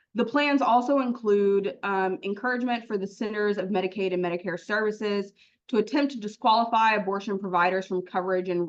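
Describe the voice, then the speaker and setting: A woman talks at a fairly quick pace with medium pitch and ordinary pitch variation. It is an unremarkable speaking voice. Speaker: lawyer. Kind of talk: panel presentation.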